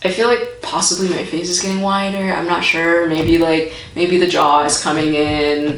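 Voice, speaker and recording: A woman's fairly low, raspy voice amid audible room echo and noticeable background noise. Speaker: vlogger. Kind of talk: vlog update. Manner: casual, hesitant with many fillers.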